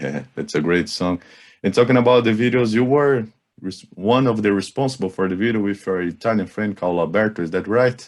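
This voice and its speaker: With a strong Brazilian accent, a man talks at a fairly quick pace. His voice is fairly low, with ordinary pitch variation. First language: Portuguese. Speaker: radio interviewer. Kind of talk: interview.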